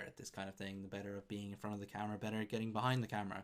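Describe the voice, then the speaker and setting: A man speaks at a very fast pace. His voice is fairly low in pitch, with monotone, flat intonation. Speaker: F1 YouTube presenter. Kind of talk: casual video monologue to camera. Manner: halting, many fillers and repeats.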